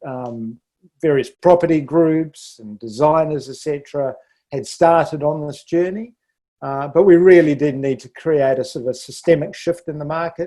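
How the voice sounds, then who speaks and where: A man with a New Zealand accent talks at a moderate pace in a fairly high pitch. His tone is dark and mellow, with ordinary pitch variation and big swings in loudness. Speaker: architect and sustainability leader. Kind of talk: podcast interview. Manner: halting with frequent fillers.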